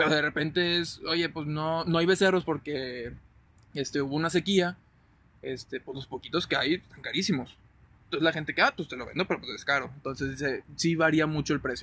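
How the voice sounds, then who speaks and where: Fairly quick and fairly even in intonation, a man speaks at a fairly high pitch with a bright, sharp tone. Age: 20s. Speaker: agribusiness engineer. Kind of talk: casual chat.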